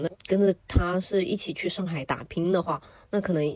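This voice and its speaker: Here a woman uses an ordinary speaking voice at a medium pitch and moderate pace. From Shenzhen, Guangdong, China. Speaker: podcast guest. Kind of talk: casual chat.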